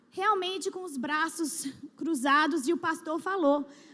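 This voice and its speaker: Her voice extremely high, a woman speaks with lively intonation. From Brazil. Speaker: church speaker. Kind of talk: testimony. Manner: halting, with restarts.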